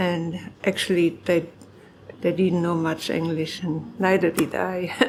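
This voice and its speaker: A woman with a German accent speaks at a fairly low pitch in monotone, flat intonation, with noticeable background noise. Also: fairly slow pace. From Germany. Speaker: farmer. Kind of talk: oral history interview.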